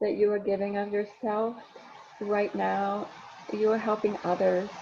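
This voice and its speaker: The woman's intonation is monotone and flat. She talks at a fairly slow pace in a medium pitch. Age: 60s. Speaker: speaker on empowerment and spirituality. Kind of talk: casual chat.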